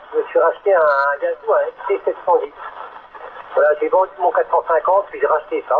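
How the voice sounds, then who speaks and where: There's noticeable background noise. Over it, a man speaks fairly quickly. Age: 60s. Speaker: CB radio operator. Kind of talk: casual radio chat. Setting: CB radio transmission.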